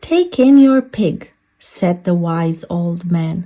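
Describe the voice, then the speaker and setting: A woman puts on a character voice, pitched fairly low and delivered at a very slow pace. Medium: read story.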